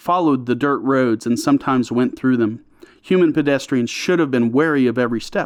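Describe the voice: Someone reads plainly. It sounds like plain reading aloud.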